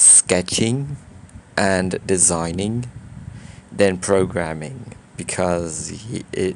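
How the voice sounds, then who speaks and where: With a slight non-native accent, a man speaks at a very deep, low pitch. His pitch variation is ordinary. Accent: slight foreign accent in English. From Brazil. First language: Portuguese. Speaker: YouTuber. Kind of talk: casual vlog monologue. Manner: halting, many fillers and restarts.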